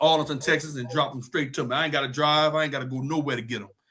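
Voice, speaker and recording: A man with a strong Louisiana accent speaks at a fairly high pitch in a bright, sharp tone. His intonation stays monotone and flat. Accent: thick Louisiana. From Louisiana, New Iberia (Cajun country). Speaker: spice business owner, crawfish cook. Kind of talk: interview. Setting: studio.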